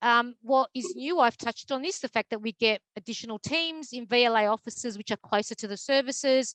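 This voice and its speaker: A woman with an Australian accent talks at a fairly quick pace with hardly any pauses. Her high-pitched voice shows ordinary pitch variation. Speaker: mental health advocacy program manager. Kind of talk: presentation. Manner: fast; hesitant with many fillers.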